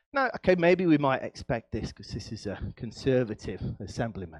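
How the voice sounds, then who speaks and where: In an animated tone, a man talks at a moderate pace with very wide pitch swings, the sound dry and close with no echo. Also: quiet background. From English East Midlands, Nottinghamshire. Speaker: professor. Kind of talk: lecture.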